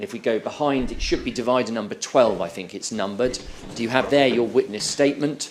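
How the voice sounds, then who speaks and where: Over noticeable background noise, a man with a British accent speaks at a fairly quick pace, with medium pitch and ordinary pitch variation. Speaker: inquiry counsel. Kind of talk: witness examination at public inquiry. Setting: courtroom hearing. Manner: formal; loud.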